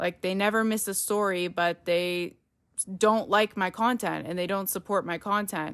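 A woman with a normal speaking voice, medium pitch, fairly even intonation and a moderate pace, on a very clean recording with a silent background. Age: 20s. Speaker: podcast host. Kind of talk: solo podcast monologue. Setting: home recording. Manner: casual.

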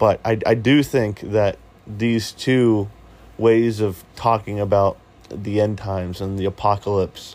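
A man speaks at a fairly slow pace with long, frequent pauses. His intonation is monotone and flat. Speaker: podcast host. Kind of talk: casual monologue. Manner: halting, many fillers.

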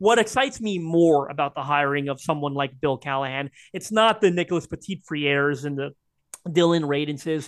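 A man with a Canadian accent speaks at a fairly quick pace, his pitch fairly high with ordinary variation. He has an unremarkable speaking voice, captured with a dry, close sound, no echo and a quiet background. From Canada. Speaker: sports podcast co-host. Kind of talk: casual chat.

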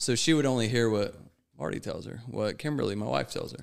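A man with an ordinary speaking voice and an American accent, medium in pitch, fairly quick, with ordinary pitch variation. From United States. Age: 30s. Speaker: guest in addiction recovery. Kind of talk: casual chat.

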